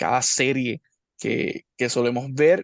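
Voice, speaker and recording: In a Puerto Rican accent, a man speaks at a medium pitch and fairly slow pace, the sound dry and close with no echo against a quiet background. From Puerto Rico. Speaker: YouTube interviewer. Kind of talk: interview.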